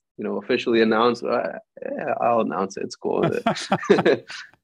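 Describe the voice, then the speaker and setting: This is a man speaking. He has an American accent. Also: big swings in loudness. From Greek expat, grew up in various countries in American schools. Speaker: musician. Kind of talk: interview. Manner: casual.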